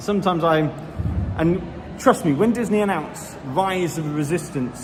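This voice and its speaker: Music plays behind a man speaking at a moderate pace. His pitch is fairly high, and the room echo is audible. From Britain. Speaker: Disney news YouTuber. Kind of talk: casual livestream chat. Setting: outdoors in a theme park. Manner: casual, hesitant with fillers.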